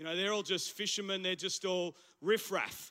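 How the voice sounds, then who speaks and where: A man with an Australian accent, high-pitched and bright, sharp in tone, at a moderate pace. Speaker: pastor. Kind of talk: sermon. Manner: animated.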